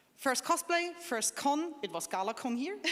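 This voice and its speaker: A woman with a German accent speaks at a fairly slow pace with lively intonation. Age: 20s. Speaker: cosplayer panelist. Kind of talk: convention panel talk.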